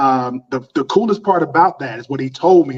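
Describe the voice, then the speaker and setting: At a fairly quick pace, a man with a Southern US accent speaks in a fairly high pitch with ordinary pitch variation. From US South, North Carolina. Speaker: custom suit designer and business owner. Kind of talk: podcast interview.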